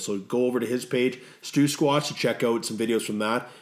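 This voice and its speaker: The man has an ordinary speaking voice at a medium pitch, and he talks at a fairly quick pace. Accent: Canadian. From Canada. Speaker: podcast co-host. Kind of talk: casual podcast chat.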